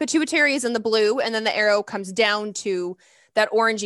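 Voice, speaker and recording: A woman's fairly high-pitched, fairly quick delivery in an ordinary speaking voice, with ordinary pitch variation and a dry, close sound with no echo. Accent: American. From US South (Lexington, Kentucky). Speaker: naturopathic doctor, hormone expert. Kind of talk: interview, medical explanation.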